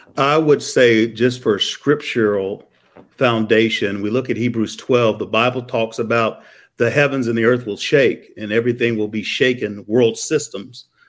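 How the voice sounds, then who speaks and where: A man with an American accent has an ordinary speaking voice at a medium pitch, with fairly even intonation. He speaks at a moderate pace on a very clean recording with a silent background. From Missouri. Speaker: pastor. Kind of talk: interview conversation about prophecy.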